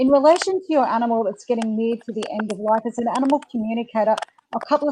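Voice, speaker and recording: With an Australian accent, a woman speaks in a fairly high voice with ordinary pitch variation. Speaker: animal communicator and webinar host. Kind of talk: live webinar talk. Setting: live online webinar. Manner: casual, many fillers.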